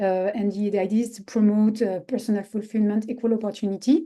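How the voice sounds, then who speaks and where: A dark, mellow tone with a French accent, fairly even intonation and a moderate pace against a quiet background. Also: woman. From France. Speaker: social enterprise expert. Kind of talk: webinar presentation. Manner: halting.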